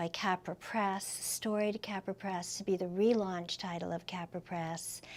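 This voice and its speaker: A woman's normal speaking voice at medium pitch, with fairly even intonation and a fairly slow pace. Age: 60s. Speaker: author. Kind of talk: interview.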